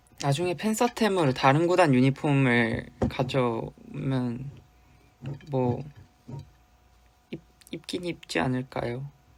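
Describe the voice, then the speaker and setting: Pausing long and often, a man with a fairly high voice speaks at a very slow pace with lively intonation. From South Korea, Busan. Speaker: K-pop idol. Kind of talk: casual fan livestream chat.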